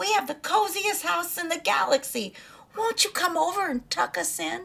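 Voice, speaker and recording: A woman uses a put-on character voice at an extremely high pitch. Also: moderate pace. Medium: read story.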